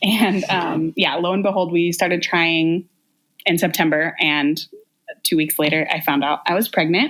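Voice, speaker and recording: With a West Coast US accent, a woman talks at a moderate pace, her fairly low pitch carried on fairly even intonation. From US Pacific Northwest, Portland, Oregon. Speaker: podcast guest sharing birth stories. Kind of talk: casual interview storytelling.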